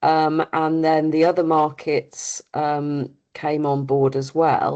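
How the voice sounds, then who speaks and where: The speaker goes at a very slow pace with monotone, flat intonation. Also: woman, very deep, low pitch for a woman. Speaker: industry representative. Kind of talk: webinar presentation. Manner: hesitant, many fillers.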